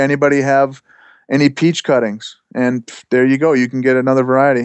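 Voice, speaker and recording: Speaking at a fairly quick pace, a man holds a flat, monotone intonation. His pitch is fairly high. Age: 40s. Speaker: self-employed plant grower and broom maker. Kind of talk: casual podcast interview.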